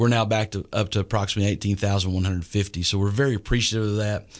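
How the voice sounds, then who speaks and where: A man with a Texan accent speaks at a very fast pace. His fairly low voice has a monotone, flat intonation. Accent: Texan Southern US. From East Texas. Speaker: school superintendent. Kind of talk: radio interview. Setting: radio studio. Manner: hesitant with many fillers.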